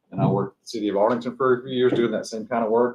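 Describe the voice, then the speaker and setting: A man with a Texas accent, medium pitch and a very fast pace. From Texas, Tarrant County. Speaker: construction project manager. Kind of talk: self-introduction at a seminar.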